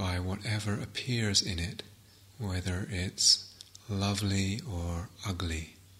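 A man speaks very slowly in a fairly low, gentle, calm voice with fairly even intonation. Noticeable noise sits in the background. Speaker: meditation teacher. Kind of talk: guided meditation. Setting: retreat hall, guiding a group. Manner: slow, calm, soft-spoken, with long pauses; gentle, unhurried, hushed.

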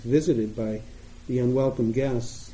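A man with an American accent speaks at a medium pitch, sounding somewhat breathy. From US Northeast, Boston. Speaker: meditation teacher. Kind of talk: dharma talk. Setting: meditation retreat with audience.

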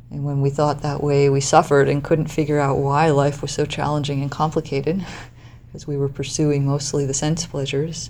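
The delivery is soft-spoken with a dark, mellow tone. It runs at a fairly quick pace in monotone, flat intonation. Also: woman, very deep, low pitch for a woman. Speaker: meditation teacher. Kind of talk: dharma talk. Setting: meditation hall with audience.

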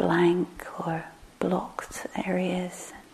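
With noticeable background noise, a woman speaks in a gentle tone. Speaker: meditation teacher. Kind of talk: guided meditation, a gentle body scan with invitational cues. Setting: meditation hall with a live group of retreatants. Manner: soft, slow and unhurried, full of gentle invitations; hesitant, many fillers and repeated words.

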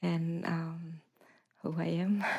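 A woman is speaking. Her tone is dark and mellow. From Vietnam. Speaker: meditation teacher. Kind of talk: announcement at retreat. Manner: halting.

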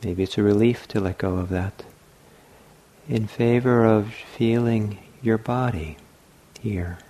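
A man speaks at a fairly slow pace in a calm, gentle tone, his fairly low, dark, mellow voice keeping a fairly even intonation and broken by long, frequent pauses. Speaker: meditation teacher. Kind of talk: guided meditation. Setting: meditation hall at a retreat center. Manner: slow, soft-spoken, calm and unhurried with long pauses; gentle, soothing, inviting.

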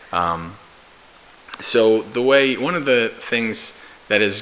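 The delivery is very slow with ordinary pitch variation, and noticeable noise sits in the background. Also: man. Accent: American. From US, New Jersey. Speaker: Buddhist monk and meditation teacher. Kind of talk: dharma talk.

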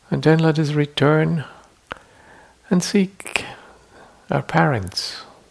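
At a very slow pace, a man with fairly high pitch uses a gentle, soothing tone and ordinary pitch variation. Long, frequent pauses break his speech over noticeable background noise. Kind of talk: guided meditation. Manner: slow, soft-spoken, soothing, with long pauses; gentle, deliberate, formal, reflective.

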